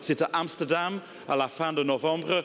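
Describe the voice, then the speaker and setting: A strong non-native accent comes with fairly even intonation. Noticeable background noise sits behind the voice. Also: man. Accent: strong foreign accent in French. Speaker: industry association executive. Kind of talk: conference speech. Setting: conference stage with audience. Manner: halting, many hesitations.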